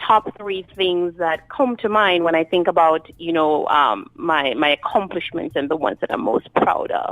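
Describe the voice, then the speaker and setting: A woman speaks in a strong Jamaican accent at a medium pitch and moderate pace, with hardly any pauses. Music plays in the background. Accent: thick Jamaican. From Jamaica, raised in New York City. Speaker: author and speaker. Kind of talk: interview.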